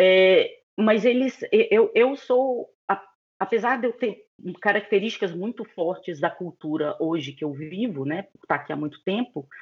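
A woman with an unremarkable speaking voice talks at a fairly slow pace, her loudness swinging widely. Her pitch is medium, and her intonation is lively. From Brazil, Belo Horizonte, Minas Gerais. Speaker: relocation business owner. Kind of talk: interview.

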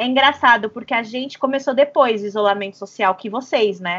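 A woman with an ordinary speaking voice, a fairly high pitch and ordinary pitch variation. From interior of São Paulo state, Brazil. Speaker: podcast host, travel journalist. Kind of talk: casual chat. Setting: remote recording from home.

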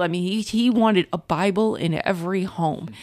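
A woman with an American accent and a plain, everyday voice talks at a fairly slow pace with ordinary pitch variation. The sound is dry and close with no echo, a very clean recording with a silent background. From US Midwest, St. Louis, Missouri. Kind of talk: interview.

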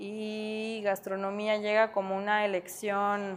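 The speaker is a woman. She talks at a fairly high pitch. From Mexico. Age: 20s. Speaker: chef and restaurant owner. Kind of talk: interview.

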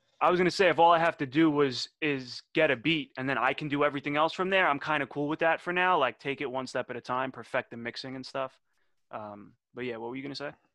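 Very fast speech in a New York accent comes with big swings in loudness and ordinary pitch variation, recorded dry and close with no echo over a quiet background. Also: man, fairly high pitch for a man. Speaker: rapper and podcast host. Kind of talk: casual chat. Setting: video call.

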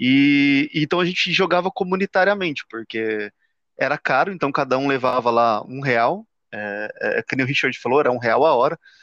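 There is a man speaking with a fairly high pitch and lively intonation. The sound is dry and close with no echo, and the background is quiet. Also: moderate pace. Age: 30s. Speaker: podcast co-host. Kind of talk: casual chat. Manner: halting.

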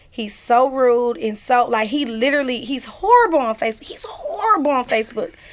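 A woman's high-pitched, fairly quick speech with lively intonation, hardly any pauses and big swings in loudness, over noticeable background noise. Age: 30s. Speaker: author. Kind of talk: casual interview.

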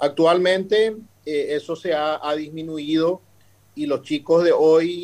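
A man's fairly high-pitched, a plain, everyday voice, at a fairly slow pace. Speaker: family business consultant. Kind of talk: interview. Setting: remote line from abroad.

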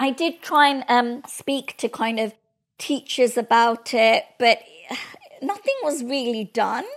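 A woman speaks at a very slow pace in a high pitch. She has an English accent. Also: ordinary pitch variation. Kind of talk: interview.

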